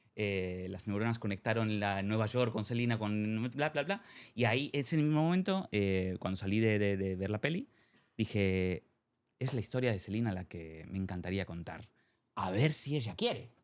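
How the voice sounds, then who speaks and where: This man has a fairly low pitch and ordinary pitch variation, speaking at a moderate pace in a very clean recording with a silent background. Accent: Argentine. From Spain, Madrid. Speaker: novelist and theatre maker. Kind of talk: interview. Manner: hesitant, many fillers.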